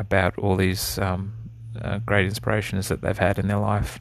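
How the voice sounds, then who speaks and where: Here is a man with an Australian accent. His pitch is very deep and low. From Australia (east coast), early years in the Netherlands. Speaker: podcast host, drummer. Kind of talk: solo monologue. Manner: hesitant, many fillers.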